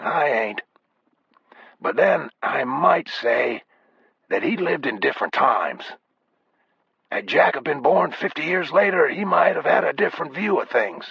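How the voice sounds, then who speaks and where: In a raspy put-on character voice, a man speaks at a moderate pace with long, frequent pauses. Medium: read story. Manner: slow, laconic.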